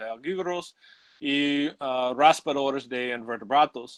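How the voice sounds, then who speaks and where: A man with a non-native accent, fairly high-pitched, talking very slowly with ordinary pitch variation. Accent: English-speaking, non-native Spanish. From United States. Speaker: ichthyologist giving a talk. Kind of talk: lecture. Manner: halting, many fillers.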